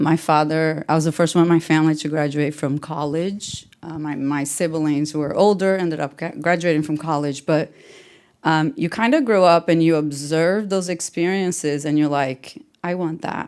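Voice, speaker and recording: A woman's very deep, low pitch with a Portuguese accent and fairly even intonation. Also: moderate pace, very clean recording, silent background. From Brazil. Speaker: tech manager. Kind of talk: panel interview.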